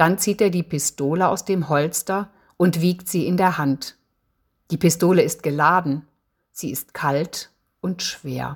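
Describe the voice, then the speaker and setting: In a very clean recording with a silent background, a woman speaks very slowly at a fairly low pitch, somewhat breathy, with fairly even intonation and long, frequent pauses. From Eifel, western Germany. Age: 60s. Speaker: novelist. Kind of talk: author presentation with reading aloud.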